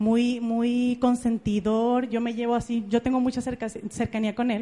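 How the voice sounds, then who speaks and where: A woman speaks with a Mexican accent at a high pitch. Her tone is dark and mellow. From Mexico, Jalisco (Ameca, near Guadalajara). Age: 30s. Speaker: motivational speaker, network marketing entrepreneur. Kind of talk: motivational talk. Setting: stage with audience. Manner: animated.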